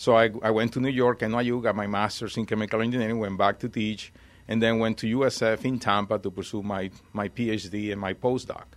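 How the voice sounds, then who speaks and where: This man's voice sits at a medium pitch and moves at a fairly quick pace. His intonation is monotone and flat. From Venezuela. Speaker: college administrator. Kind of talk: radio interview. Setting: radio studio.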